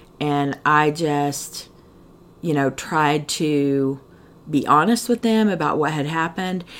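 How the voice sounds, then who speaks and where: Speaking at a very slow pace, a woman uses a very deep, low pitch with ordinary pitch variation. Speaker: recovering addict sharing her story. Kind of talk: testimony.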